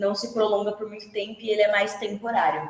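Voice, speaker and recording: A woman's fairly high pitch, with audible room echo and noticeable background noise. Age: 20s. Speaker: university student. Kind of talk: student presentation. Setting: presentation to group members. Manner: hesitant, with many filler sounds.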